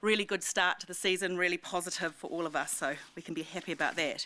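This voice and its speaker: A woman with a New Zealand accent speaks loudly at a very fast pace, her fairly low pitch carrying a bright, sharp tone and fairly even intonation. The recording is very clean, with a silent background. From New Zealand, Wanaka. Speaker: ski resort president and CEO. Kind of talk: public talk to community audience. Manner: casual, hesitant with many ums.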